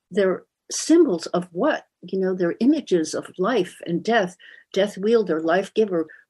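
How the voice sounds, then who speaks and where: The speaker has an American accent, a dark, mellow tone and lively intonation, and talks at a fairly slow pace. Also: woman. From US West Coast (San Francisco Bay Area). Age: 70s. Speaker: author and art historian. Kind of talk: interview.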